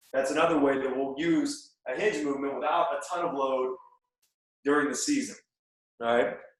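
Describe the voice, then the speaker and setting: A man speaks at a moderate pace with long, frequent pauses. His pitch variation is ordinary, and room echo is audible. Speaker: strength coach. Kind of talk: conference talk. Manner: casual, filler-heavy.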